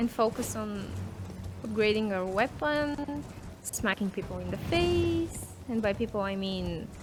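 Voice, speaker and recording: With music in the background, the speaker talks at a fairly slow pace in a non-native accent. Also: woman. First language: not English. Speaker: gamer streaming a playthrough. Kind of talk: casual chat with gameplay commentary.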